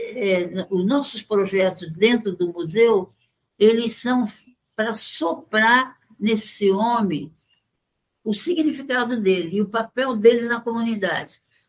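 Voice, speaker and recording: Very slowly, a woman speaks in a fairly high voice with ordinary pitch variation. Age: 80s+. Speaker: folklorist. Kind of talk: interview testimony. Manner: halting.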